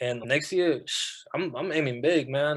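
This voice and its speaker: A plain, everyday voice with fairly even intonation, in a very clean recording with a silent background. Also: man. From Atlanta, US South (born in Mexico). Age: 20s. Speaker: boxer. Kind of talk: interview.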